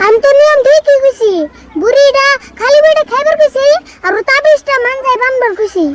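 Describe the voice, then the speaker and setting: Dry and close with no echo, a woman performs a put-on character voice at an extremely high pitch, with ordinary pitch variation and a moderate pace. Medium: comedy sketch. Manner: teasing, sharp-tongued.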